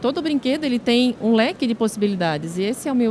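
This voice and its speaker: Lively intonation marks this woman's southern Brazilian accent. Noticeable background noise runs underneath. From southern Brazil, Santa Catarina (Brusque). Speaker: social media influencer. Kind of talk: podcast interview.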